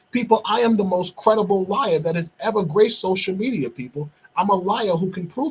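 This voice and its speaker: A man's high, animated voice, fairly quick with hardly any pauses and ordinary pitch variation. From New York. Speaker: podcast host. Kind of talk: monologue. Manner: fast.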